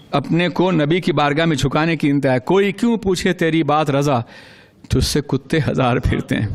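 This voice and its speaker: The tone is passionate, with ordinary pitch variation. Loudness stays very even throughout. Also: man, fairly high pitch for a man. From Manchester, UK (speaker based there). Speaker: Islamic scholar giving a religious sermon. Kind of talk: Urdu religious sermon (bayan) to a live audience. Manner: passionate, oratorical, with audience responses.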